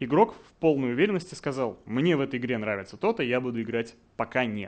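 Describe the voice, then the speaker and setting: The man talks at a fairly quick pace, his medium pitch showing ordinary variation. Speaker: game design director; conference speaker. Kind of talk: conference talk. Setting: stage with audience. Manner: confident, instructive. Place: hall.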